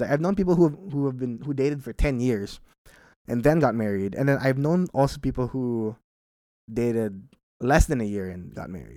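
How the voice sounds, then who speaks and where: A man at a medium pitch and moderate pace, with very wide pitch swings and big swings in loudness, in a very clean recording with a silent background. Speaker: podcast host answering listener questions. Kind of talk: casual solo Q&A monologue.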